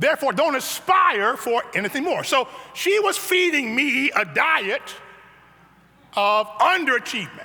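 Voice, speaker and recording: Raised and projected, a man's extremely high voice with an American accent swings very widely in pitch while its loudness stays very even, over noticeable background noise. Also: fairly slow pace. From US Midwest, south side of Chicago. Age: 70s. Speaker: pastor. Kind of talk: sermon.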